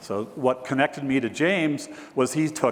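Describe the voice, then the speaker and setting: With noticeable background noise, a man speaks at a medium pitch with ordinary pitch variation. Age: 60s. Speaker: real estate broker and keynote speaker. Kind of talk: keynote speech. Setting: stage with audience.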